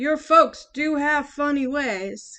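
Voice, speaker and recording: A woman puts on a character voice pitched high. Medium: read story.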